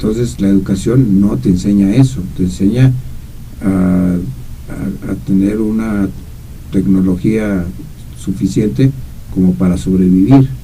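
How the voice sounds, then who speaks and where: A man's very deep, low voice carries lively intonation and long, frequent pauses, with audible room echo around it. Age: 70s. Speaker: radio commentator. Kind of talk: casual chat. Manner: halting, many repetitions.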